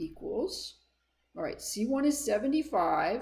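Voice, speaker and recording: A woman speaks with very wide pitch swings and a somewhat breathy sound. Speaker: math instructor. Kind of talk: lecture.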